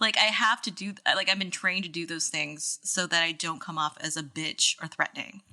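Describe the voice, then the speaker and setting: A woman speaks with an American accent at a fairly low pitch. Her tone is bright and sharp, with hardly any pauses. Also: ordinary pitch variation, fairly quick pace. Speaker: podcast co-host. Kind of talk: casual chat. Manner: halting, many fillers.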